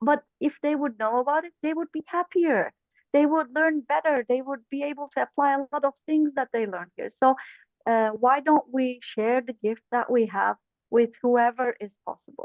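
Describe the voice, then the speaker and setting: A woman with a non-native accent speaks at a moderate pace in a high pitch. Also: ordinary pitch variation. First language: not English. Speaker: corporate trainer, club officer. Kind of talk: webinar panel discussion.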